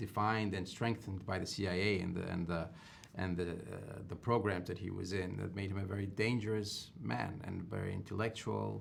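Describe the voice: Using a low pitch with vocal fry, a man speaks at a moderate pace with little pitch movement and few pauses.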